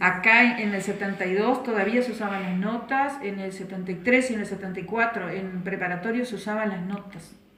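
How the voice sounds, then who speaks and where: Over noticeable background noise, a woman with a medium pitch and fairly even intonation talks at a fairly quick pace with hardly any pauses. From Uruguay, Bella Unión (Artigas). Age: 60s. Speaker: retired schoolteacher. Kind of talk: interview. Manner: hesitant, many fillers.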